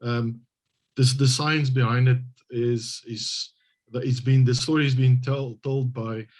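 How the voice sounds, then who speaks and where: A man talks at a moderate pace in a South African accent, his pitch medium. His voice is somewhat breathy, with monotone, flat intonation. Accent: Afrikaans South African English. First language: Afrikaans. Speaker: government hydrogeologist, translator. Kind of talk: interview. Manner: halting.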